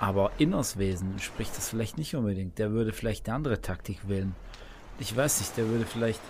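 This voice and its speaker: Ordinary pitch variation from a man speaking at a very fast pace. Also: fairly low pitch for a man. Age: 20s. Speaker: video gamer. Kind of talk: casual chat.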